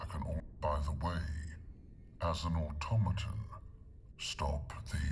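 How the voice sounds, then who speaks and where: A put-on character voice sits at a very deep, low pitch. Background noise is clearly heard. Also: moderate pace. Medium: video game. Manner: stiff, halting.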